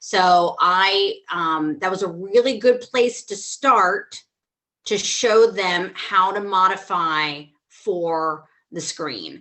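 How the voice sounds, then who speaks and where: At a very slow pace, a woman speaks with medium pitch and ordinary pitch variation. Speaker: theatre teacher. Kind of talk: online workshop discussion. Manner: loud, expressive.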